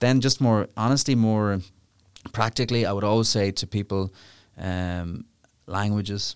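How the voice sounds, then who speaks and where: Dry and close with no echo, a man speaks in an Irish accent. His voice is fairly low, broken by long, frequent pauses. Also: fairly even intonation, very clean recording, silent background. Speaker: international lawyer. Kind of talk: interview. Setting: studio. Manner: fast.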